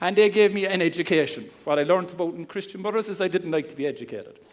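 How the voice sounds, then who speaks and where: A man speaks in a Cork accent. His pitch is high and varies in an ordinary way. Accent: Cork Irish. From Ireland, Cork. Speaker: internet marketer. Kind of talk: seminar talk. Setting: stage with audience. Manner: calm.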